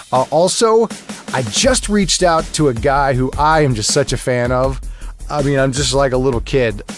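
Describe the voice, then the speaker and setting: Against music in the background, a man speaks at medium pitch in a relaxed tone. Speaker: podcast host and voice actor; audiobook narrator. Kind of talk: casual podcast intro talk. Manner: conversational, relaxed.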